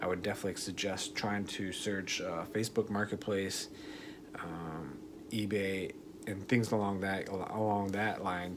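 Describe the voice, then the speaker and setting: A soft-spoken man talks fairly slowly at a fairly low pitch. His intonation is flat and monotone, with audible room echo. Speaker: motovlogger. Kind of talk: tutorial. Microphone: voice recording kind of quiet.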